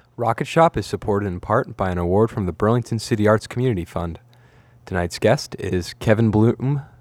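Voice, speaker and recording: With a normal speaking voice, a man talks at a fairly quick pace and fairly low pitch, using ordinary pitch variation. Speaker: guest radio host. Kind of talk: casual radio interview. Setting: radio studio.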